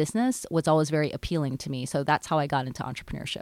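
Recorded dry and close with no echo and a silent background, a woman speaks at a very deep, low pitch with ordinary pitch variation, and the recording is very clean. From Hawaii. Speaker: law professor. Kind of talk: interview.

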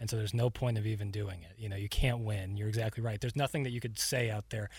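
Over a very clean recording with a silent background, a somewhat breathy man talks at a very fast pace with ordinary pitch variation. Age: 20s. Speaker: podcast co-host. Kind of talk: casual chat. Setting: studio.

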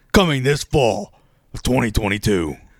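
A man uses a put-on character voice with a raspy edge at medium pitch. His pitch swings very widely. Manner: dramatic announcer.

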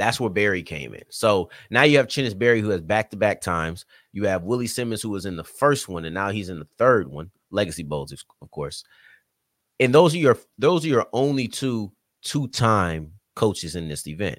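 In a slight Southern US accent, the speaker talks at a moderate pace with an animated tone, very wide pitch swings and big swings in loudness, on a very clean recording with a silent background. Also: man, fairly low pitch for a man. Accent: slight Southern US twang. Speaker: sports podcast host and writer. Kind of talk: casual chat.

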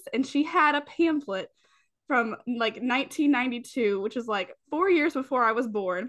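A woman's high voice with an American accent, lively intonation and a fairly slow pace, over a quiet background. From US South, rural Appalachian Kentucky. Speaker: aerospace engineer. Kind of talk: casual interview.

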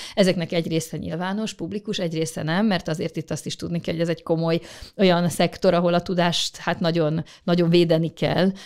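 At a very fast pace, a woman with a fairly low pitch speaks in monotone, flat intonation. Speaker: government space official. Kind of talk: interview answers. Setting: studio. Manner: formal, explanatory.

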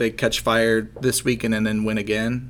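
At a moderate pace, a man talks at medium pitch in a normal speaking voice. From Ohio. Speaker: sports betting podcast co-host. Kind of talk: casual chat.

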